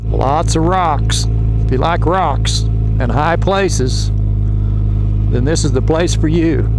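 Dry, echo-free speech from a man, with noticeable background noise. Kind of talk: casual vlog chat. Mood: relaxed, chatty. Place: motorbike. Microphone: helmet.

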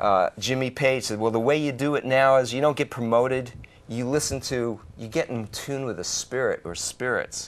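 Delivery comes at a fairly slow pace. The pitch variation is ordinary. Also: man. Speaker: call-in show host. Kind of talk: call-in talk show. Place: studio.

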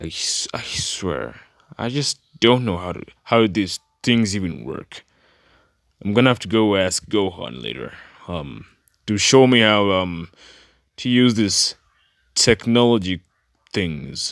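In a put-on character voice, a man rumbles at a fairly low pitch and a fairly slow pace, with long, frequent pauses. The recording is very clean, with a silent background. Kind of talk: comic in-character reaction. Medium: voice reel. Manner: confused, grumbling, exasperated.

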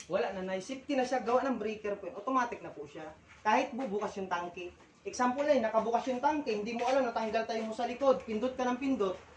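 An animated tone rushes by at a very fast pace with big swings in loudness and ordinary pitch variation, over noticeable background noise. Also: woman, fairly high pitch for a woman. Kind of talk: street sales pitch. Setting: live product demonstration in person. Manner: animated, fast, persuasive demonstrating talk; politely repetitive, addressing customers as tay, nay, ma'am.

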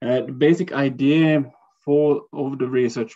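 A man speaks in a flat monotone. The background is quiet. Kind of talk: lecture. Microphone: video call.

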